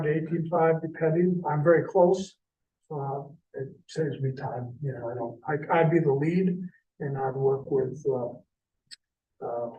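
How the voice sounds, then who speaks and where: Audible room echo surrounds a man whose fairly high voice keeps a fairly even intonation. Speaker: recruitment consultant, former city administrator. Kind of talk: presentation at a city committee meeting. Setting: city committee meeting.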